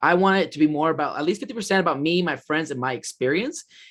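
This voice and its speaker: A man talks loudly at a fairly quick pace. His pitch is high and his intonation lively. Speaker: podcast host and festival vlogger. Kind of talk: casual chat. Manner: halting, many fillers.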